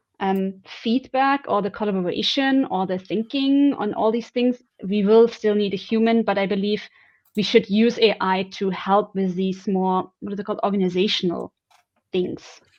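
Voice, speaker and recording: A woman with a non-native accent speaks at a medium pitch and a moderate pace. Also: ordinary pitch variation. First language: not English. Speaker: software tester, community member. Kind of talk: casual chat. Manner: halting.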